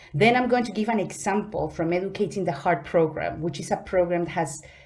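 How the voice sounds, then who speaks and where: This voice has a dark, mellow tone with an unnamed speaker's Spanish accent. Its pitch varies in an ordinary way. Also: woman. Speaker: conference speaker. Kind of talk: conference presentation. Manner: halting.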